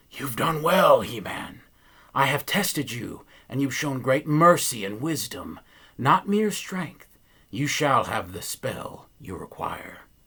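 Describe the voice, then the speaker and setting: In a very clean recording with a silent background, a man uses a put-on character voice, raised and projected at a fairly high pitch. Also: fairly slow pace. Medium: read story. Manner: grand, imperious.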